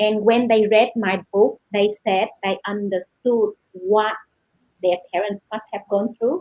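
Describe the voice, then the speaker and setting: A woman with a Vietnamese accent speaks at a fairly high pitch. Her pace is very slow and her intonation fairly even. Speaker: novelist. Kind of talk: panel discussion.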